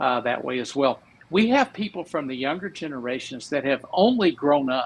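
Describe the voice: The intonation here is lively. The pace is moderate. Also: man.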